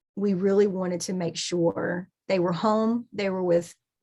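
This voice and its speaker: A woman in a Southern US accent, medium pitch, and fairly even intonation, with a quiet background. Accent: Southern US (Georgia). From US South, Southeast Georgia. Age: 40s. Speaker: artist and journaling teacher. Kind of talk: podcast interview.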